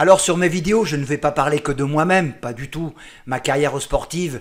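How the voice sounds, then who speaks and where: A man talks at a moderate pace in a fairly high pitch with ordinary pitch variation. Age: 60s. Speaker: amateur cyclist vlogger. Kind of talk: casual vlog monologue. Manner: halting, many fillers.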